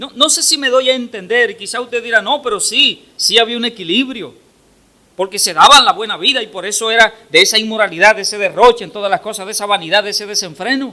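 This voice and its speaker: A man's raised, projected voice, high-pitched, bright and sharp, at a very fast pace with ordinary pitch variation. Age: 60s. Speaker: pastor. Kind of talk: sermon.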